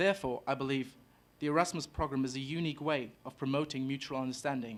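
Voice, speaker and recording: A man speaks with a German accent at a fairly quick pace. His pitch is fairly high, with ordinary variation, on a very clean recording with a silent background. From Germany, Hamburg. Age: 20s. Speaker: exchange student. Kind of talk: prepared speech. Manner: formal.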